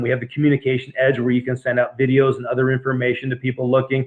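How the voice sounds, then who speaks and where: A man talks at a very fast pace with a medium pitch. His intonation is flat and monotone. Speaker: network marketing distributor. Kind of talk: sales presentation webinar. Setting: home office webinar.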